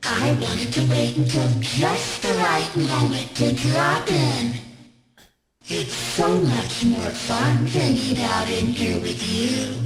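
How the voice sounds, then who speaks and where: A put-on character voice at a fairly slow pace, with slight echo and loud music in the background. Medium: video game.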